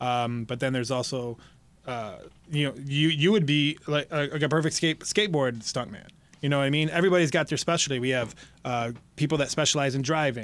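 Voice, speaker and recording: Fairly quick speech in a Midwestern American accent, with ordinary pitch variation, on a very clean recording against a silent background. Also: man, fairly high pitch for a man. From Michigan, Detroit downriver area. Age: 40s. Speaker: pro wrestler and stuntman. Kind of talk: interview. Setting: studio. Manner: halting.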